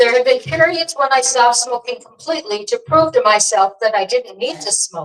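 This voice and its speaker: The voice moves at a fairly quick pace with hardly any pauses and very wide pitch swings. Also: woman, high pitch for a woman. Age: 70s. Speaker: activist and playwright. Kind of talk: prepared speech at a live event. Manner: halting, losing place in notes.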